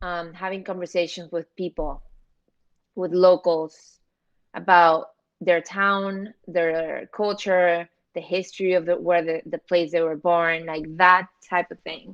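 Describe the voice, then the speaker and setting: A woman in a Spanish accent, with a fairly low pitch, fairly even intonation and a fairly slow pace, over a quiet background. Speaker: social media commentator. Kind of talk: casual chat.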